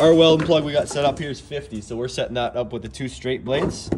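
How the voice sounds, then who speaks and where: The speaker talks at a fairly quick pace. There is noticeable background noise. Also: man. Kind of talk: casual shop talk tutorial. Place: workshop. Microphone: phone near.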